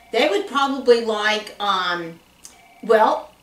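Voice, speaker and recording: A woman with an American accent speaks at a fairly slow pace and a fairly high pitch, with ordinary pitch variation and audible room echo. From US South (Tennessee). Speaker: church class guest. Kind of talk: conversational interview chat. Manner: animated. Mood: warm, friendly. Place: office.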